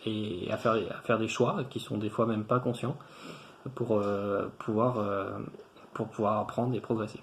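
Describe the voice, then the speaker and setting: A man's fairly low voice, fairly slow and monotone, with flat intonation and long, frequent pauses. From France, Tours area. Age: 30s. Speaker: engineer, former student. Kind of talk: testimonial interview. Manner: hesitant, many fillers and repetitions.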